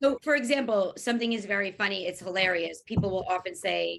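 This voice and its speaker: This woman has a Long Island accent. She talks at a fairly quick pace, her pitch swinging very widely. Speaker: event host, journalist. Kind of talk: panel discussion.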